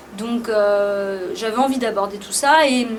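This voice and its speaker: Amid audible room echo and noticeable background noise, a woman talks at a very slow pace in a fairly high voice with ordinary pitch variation. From France, Paris. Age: 30s. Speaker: musician. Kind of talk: interview. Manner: hesitant, many fillers.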